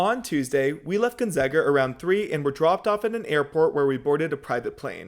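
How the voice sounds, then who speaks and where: A man in a normal speaking voice, fairly high in pitch, with lively intonation, hardly any pauses and a fairly quick pace, on a very clean recording with a silent background. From Seattle, Washington. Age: 20s. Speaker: student broadcast reporter. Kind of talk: casual vlog-style feature narration.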